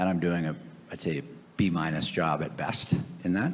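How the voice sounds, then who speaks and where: At a fairly quick pace, a man with a very deep, low pitch talks with an American accent. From US Northeast, Boston area. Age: 60s. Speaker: private equity investor and author. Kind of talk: onstage Q&A interview. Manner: hesitant, many fillers.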